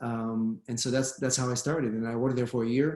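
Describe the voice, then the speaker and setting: A man's monotone, flat delivery in an Israeli accent. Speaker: immigration lawyer. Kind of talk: panel discussion.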